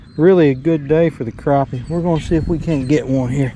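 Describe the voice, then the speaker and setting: Against noticeable background noise, a man with an American accent talks in a fairly high pitch with fairly even intonation. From Tennessee. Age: 60s. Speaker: bank fisherman. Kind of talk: casual talk to camera. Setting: outdoors.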